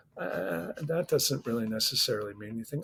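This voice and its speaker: A somewhat breathy man with an American accent and lively intonation. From US Midwest, Chicago North Shore. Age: 60s. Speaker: musician and record producer. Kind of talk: interview conversation. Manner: halting, many repeated words.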